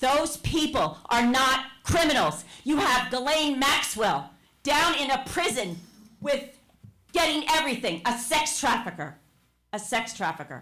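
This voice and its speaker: A woman's raised, projected voice in a New Jersey accent, high-pitched and bright and sharp, with very wide pitch swings, very even loudness and a fairly slow pace. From New Jersey, Verona. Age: 70s. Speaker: public commenter, retired teacher. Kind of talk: public comment at council meeting. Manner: impassioned, emphatic.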